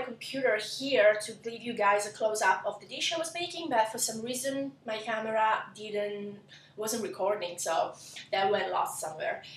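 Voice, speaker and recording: Lively intonation marks this moderately paced voice with an Italian accent, heard over noticeable background noise and audible room echo. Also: woman. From southern Italy, Lecce (Apulia). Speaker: cooking blogger. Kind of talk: cooking tutorial intro. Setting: home kitchen, camera. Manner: halting, many fillers.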